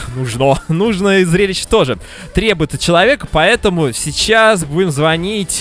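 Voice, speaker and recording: Over noticeable background noise, a man with a high pitch speaks at a fairly slow pace, his intonation lively and his loudness very even. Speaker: radio host. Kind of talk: live radio talk show. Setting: radio studio.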